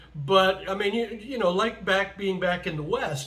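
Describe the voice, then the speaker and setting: A man talks at a moderate pace with ordinary pitch variation and audible room echo. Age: 60s. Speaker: vlogger. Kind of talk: casual monologue vlog. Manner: hesitant, many fillers.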